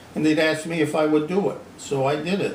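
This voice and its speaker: Speaking at a very fast pace, a man has an American accent. Noticeable background noise and audible room echo accompany him. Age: 80s+. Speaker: retired sheet metal worker. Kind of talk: casual chat. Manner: hesitant repetitions.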